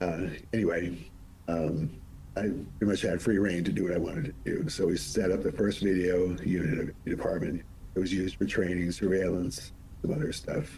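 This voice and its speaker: Audible room echo surrounds a fairly quick pace of speech. Loudness is very even, and pitch variation ordinary. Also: man, very deep, low pitch for a man. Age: 70s. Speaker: monk and politician, former emergency official. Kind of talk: interview.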